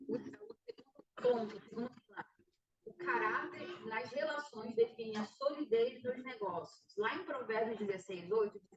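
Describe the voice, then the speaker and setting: At a fairly slow pace, a woman speaks in a fairly high pitch with lively intonation and big swings in loudness. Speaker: business course instructor. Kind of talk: online lecture. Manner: soft-spoken. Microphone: too quiet.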